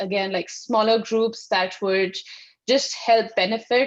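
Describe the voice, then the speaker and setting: A woman with an Indian accent, fairly high pitch, fairly slow pace and fairly even intonation. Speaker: sustainability consultant. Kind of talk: panel discussion.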